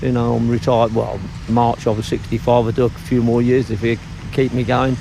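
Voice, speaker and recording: A man's medium-pitched voice, monotone and flat, at a fairly quick pace with very even loudness, over noticeable background noise. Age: 60s. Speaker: cockle fisherman. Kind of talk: documentary interview. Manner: talkative.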